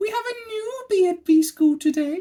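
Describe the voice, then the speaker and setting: An extremely high, squeaky put-on character voice is heard. Its pace is moderate. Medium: read story. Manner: regal.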